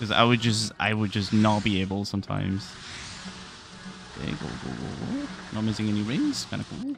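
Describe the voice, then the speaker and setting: Music plays in the background as a man speaks at a fairly quick pace, with long, frequent pauses. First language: Spanish. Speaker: video game speedrunner streamer. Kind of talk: casual livestream chat. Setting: livestream.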